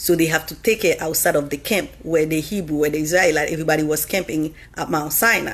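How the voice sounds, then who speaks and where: This woman's voice sits at a very deep, low pitch. Her pitch varies in an ordinary way. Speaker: livestreamer. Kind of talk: religious talk. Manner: fast.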